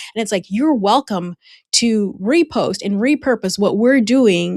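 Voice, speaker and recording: A woman with a Spanish accent at a fairly slow pace, in a very clean, dry, close recording with a silent background and no echo. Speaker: personal branding consultant. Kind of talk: podcast interview. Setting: podcast.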